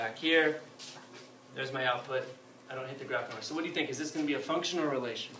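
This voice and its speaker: A man's fairly high-pitched voice comes through noticeable background noise and audible room echo. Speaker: math teacher. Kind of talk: classroom lecture. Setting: classroom with students. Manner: fast.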